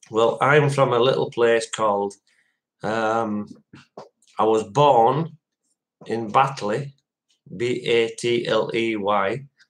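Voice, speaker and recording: Speaking at a very slow pace with long, frequent pauses, the man keeps a medium pitch and fairly even intonation. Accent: Yorkshire. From West Yorkshire, Dewsbury. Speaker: live streamer. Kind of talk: casual chat.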